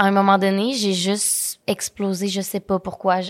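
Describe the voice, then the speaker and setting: The recording is very clean, with a silent background. A woman talks at a moderate pace and a medium pitch. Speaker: content creator and entrepreneur. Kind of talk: interview. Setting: studio.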